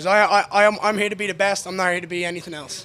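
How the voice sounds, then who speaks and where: In an Irish accent, a man talks at a very fast pace in a raised, projected voice. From Ireland. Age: 20s. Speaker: MMA fighter. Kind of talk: post-fight interview. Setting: backstage medical room. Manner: animated.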